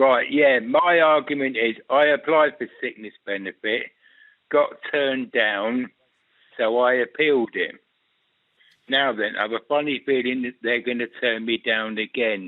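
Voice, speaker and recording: A man's plain, everyday voice at medium pitch, fairly slow, with ordinary pitch variation. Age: 60s. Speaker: caller. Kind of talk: radio phone-in call.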